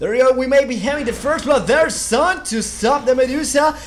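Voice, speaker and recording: Noticeable background noise and audible room echo surround this recording. A man speaks at a fairly quick pace. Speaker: esports caster. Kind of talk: live commentary. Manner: halting.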